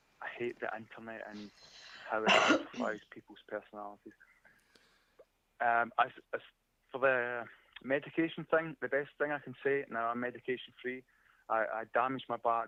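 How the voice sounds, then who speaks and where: Speaking with a Scottish accent at a moderate pace, a man with a medium-pitched, bright and sharp voice keeps fairly even intonation but swings widely in loudness, leaving long, frequent pauses in a dry, close recording with no echo. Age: 40s. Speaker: caller, arborist. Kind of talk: call-in show chat.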